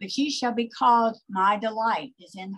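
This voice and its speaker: A somewhat breathy woman at a very slow pace, with ordinary pitch variation and a quiet background. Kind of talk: liturgical scripture reading. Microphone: video call.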